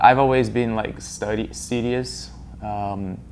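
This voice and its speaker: A man's fairly low, very slow speech with a Portuguese accent, in audible room echo. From Brazil, Amazon region (Rondônia). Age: young. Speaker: student. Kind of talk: interview.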